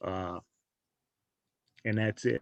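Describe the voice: A man's fairly low pitch with vocal fry, fairly even intonation and a very slow pace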